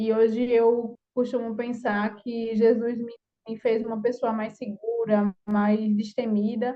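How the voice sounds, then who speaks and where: This woman's voice sits fairly high in pitch. She speaks at a very slow pace. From Brazilian countryside. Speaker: course participant. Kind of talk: personal testimony.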